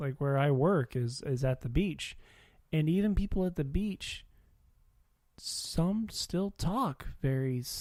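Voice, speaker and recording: In a Midwestern accent, a man speaks at a fairly high pitch with a dark, mellow tone. The recording is very clean, with a silent background. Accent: flat Midwestern. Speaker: podcast co-host. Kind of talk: casual chat.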